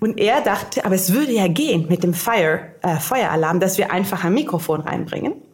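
The speaker goes at a very fast pace with lively intonation over noticeable background noise. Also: woman. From grew up internationally: Cairo, Finland (Helsinki). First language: Italian/English (German learned at 13) (speaking German). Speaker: innovation strategist. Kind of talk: casual interview. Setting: on location at hackathon.

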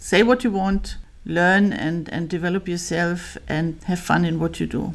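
A woman with a German accent, fairly low in pitch, at a fairly slow pace with ordinary pitch variation. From Bavaria, Germany. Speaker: company finance executive. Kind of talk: interview.

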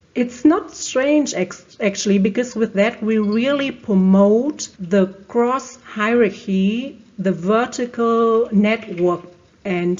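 Speaking with a German accent at a very slow pace, a woman uses ordinary pitch variation over noticeable background noise. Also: fairly high pitch for a woman. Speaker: procurement digitalization expert. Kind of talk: interview.

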